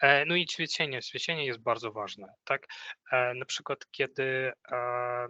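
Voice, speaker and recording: A man with a non-native accent and a bright, sharp tone, medium pitch, fairly even intonation and fairly slow pace, in a dry, close sound with no echo. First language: not Polish (speaking Polish). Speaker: corporate trainer. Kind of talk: training workshop. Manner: halting.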